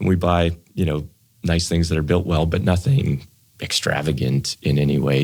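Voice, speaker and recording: A Canadian accent with fairly even intonation. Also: man. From Canadian prairies, Saskatoon, Saskatchewan. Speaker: financial planner, wealth management firm founder. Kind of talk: podcast interview.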